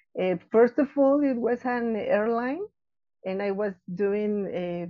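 Speaking at a very slow pace, a woman uses a fairly high pitch with ordinary pitch variation. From Mexico City. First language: Spanish. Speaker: florist and business owner. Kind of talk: interview. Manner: halting.

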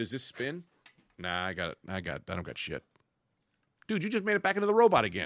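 Dry and close with no echo on a very clean recording with a silent background, a man with vocal fry speaks at a medium pitch and a very fast pace, using very wide pitch swings and long, frequent pauses. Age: 40s. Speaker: podcast host. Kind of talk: casual chat. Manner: animated.

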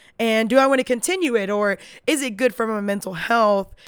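Recorded very cleanly against a silent background, a woman talks at a moderate pace with a fairly high pitch. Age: 20s. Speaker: podcast host. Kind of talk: casual monologue. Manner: animated.

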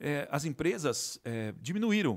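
A man with a normal speaking voice talks at a fairly slow pace in a fairly high pitch, on a very clean recording with a silent background. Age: 50s. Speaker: resin artisan and manufacturer. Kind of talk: casual interview.

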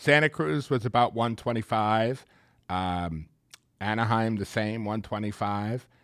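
In an American accent, a man speaks at a fairly slow pace in a normal speaking voice, medium in pitch with ordinary pitch variation. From US Northeast, Long Island, New York. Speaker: city government official, former broadcast journalist. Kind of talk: casual interview.

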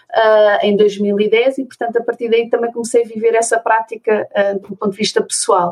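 A woman's normal speaking voice at a fairly high pitch, with fairly even intonation, a moderate pace and a dry, close sound with no echo. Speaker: special education therapist and conscious divorce mentor. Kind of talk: interview conversation.

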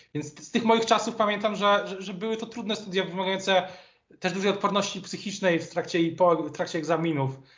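A man talks very fast in a high pitch with fairly even intonation. His loudness swings widely, and audible room echo is present. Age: 30s. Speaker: political journalist. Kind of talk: interview. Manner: halting, many repetitions.

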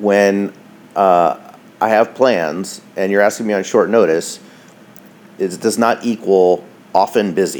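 Fairly low male speech, with ordinary pitch variation. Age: 40s. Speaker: podcaster sharing divorce diary. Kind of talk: personal diary monologue. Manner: hesitant with many fillers.

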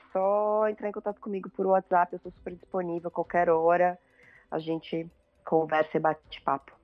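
Music playing beneath fairly even intonation. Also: woman. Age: 40s. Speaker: family documentary photographer. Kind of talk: casual interview chat.

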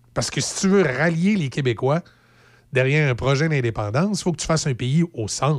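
With a Quebec accent, a man talks at a fairly quick pace in a fairly high voice with lively intonation, recorded very cleanly against a silent background. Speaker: radio host. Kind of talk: casual radio chat and news reading. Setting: studio.

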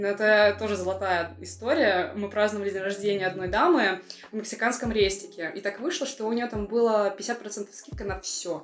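Speaking at a moderate pace, a woman has a plain, everyday voice with a medium pitch and ordinary pitch variation. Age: 20s. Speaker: podcast co-host. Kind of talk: casual chat.

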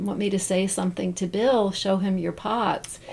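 Flat, monotone intonation in a Midwestern American accent comes through over noticeable background noise. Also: woman. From Central Ohio (Zanesville). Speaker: bonsai potter. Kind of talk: casual interview.

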